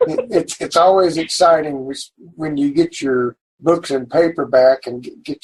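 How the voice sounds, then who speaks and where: A man with a strong Oklahoma accent talks at a moderate pace and fairly high pitch, with fairly even intonation. His loudness swings widely, and the sound is dry and close with no echo. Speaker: podcast host and indie author. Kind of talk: interview.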